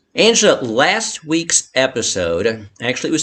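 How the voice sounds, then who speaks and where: Over noticeable background noise, a man speaks at a moderate pace. His pitch swings very widely. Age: 60s. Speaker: bankruptcy attorney and show host. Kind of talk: live-streamed interview. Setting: Facebook Live stream. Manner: halting, repeats words.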